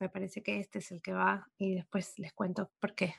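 In a plain, everyday voice, a woman talks at a moderate pace and medium pitch against a quiet background. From Argentina. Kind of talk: casual literary discussion.

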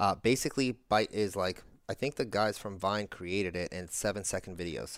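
An ordinary speaking voice from a man, fairly low in pitch, with ordinary pitch variation and a moderate pace. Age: 30s. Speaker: marketing agency head and content creator. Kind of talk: casual interview chat. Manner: casual, filler-heavy speech.

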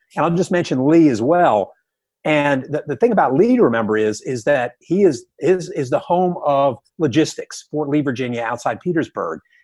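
Against a quiet background, a man with an unremarkable speaking voice talks at a moderate pace and fairly high pitch, his intonation lively. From US South. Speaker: retired army general and history professor. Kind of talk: interview. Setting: phone call.

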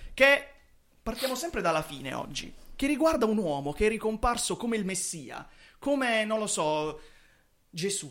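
A man talks in a high pitch with an animated tone and very wide pitch swings. His pace is moderate, broken by long, frequent pauses. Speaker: football podcast host. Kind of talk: casual chat. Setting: studio.

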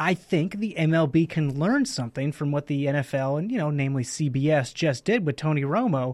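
A normal speaking voice goes at a fairly slow pace with lively intonation. The recording is very clean, with a silent background. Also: man. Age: 20s. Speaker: sports radio host. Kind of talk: casual chat.

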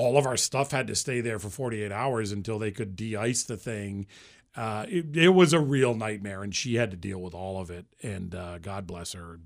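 Using an ordinary speaking voice, a man talks with an American accent at a fairly low pitch and a moderate pace. His intonation is lively, his loudness swings widely, and the recording is very clean with a silent background. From Central Massachusetts. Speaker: morning radio show host. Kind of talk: casual interview chat.

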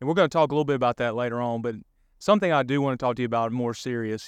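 The setting is quiet. A man talks in a Southern US accent.

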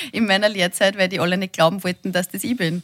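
Very fast and somewhat breathy, a woman speaks with a dry, close sound that has no echo. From Linz, Upper Austria. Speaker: TV presenter. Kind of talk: casual chat.

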